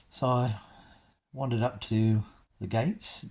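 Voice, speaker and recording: Somewhat breathy, a man talks in an Australian accent at a fairly low pitch. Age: 60s. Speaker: vlogger. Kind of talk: casual chat. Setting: in a car. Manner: halting.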